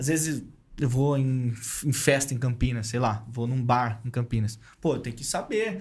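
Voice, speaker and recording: Fairly slow, somewhat breathy speech from a man with a fairly high pitch. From Brazil, São Paulo state (Santos, Paulínia). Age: 20s. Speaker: marketing head and podcast host. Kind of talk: casual chat.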